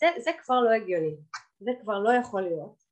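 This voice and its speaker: Here a woman with an unremarkable speaking voice talks at a fairly high pitch and a moderate pace, with lively intonation. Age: 30s. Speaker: divorced mother sharing her story. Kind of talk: personal testimony.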